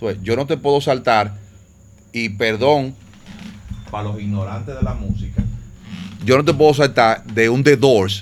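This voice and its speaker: Over noticeable background noise, a man with a Dominican Cibao accent speaks at a fairly slow pace and medium pitch, with ordinary pitch variation and long, frequent pauses. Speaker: DJ. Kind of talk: casual chat.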